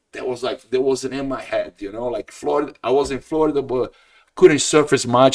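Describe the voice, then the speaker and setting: A man speaks at a moderate pace, with ordinary pitch variation. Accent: northeastern Brazilian. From Brazil, Ceará (Northeast). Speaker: jiu-jitsu practitioner. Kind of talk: casual chat.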